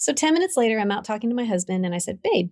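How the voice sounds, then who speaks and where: Somewhat breathy and very fast, the speaker talks in an American accent with very wide pitch swings. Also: woman. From Vermont, US. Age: 60s. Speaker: ministry founder. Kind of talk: testimony.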